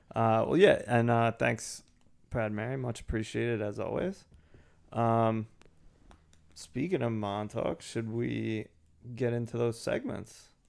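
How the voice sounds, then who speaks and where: A man's medium-pitched voice with ordinary pitch variation, at a fairly slow pace with long, frequent pauses. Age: middle-aged. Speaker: podcast co-host. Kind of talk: casual chat.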